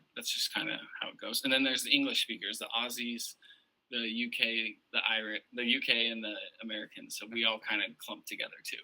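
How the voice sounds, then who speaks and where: The speaker has an Ohio accent and a fairly quick pace. The intonation stays flat and monotone. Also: man, medium pitch for a man. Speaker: podcast guest, fantasy football champion. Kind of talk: casual chat.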